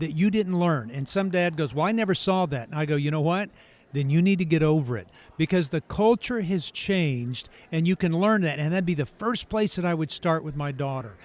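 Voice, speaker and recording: A man with a plain, everyday voice, fairly high in pitch with ordinary pitch variation, at a fairly quick pace on a very clean recording with a silent background. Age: 60s. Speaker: author and ranch counselor for troubled teens. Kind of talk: podcast interview.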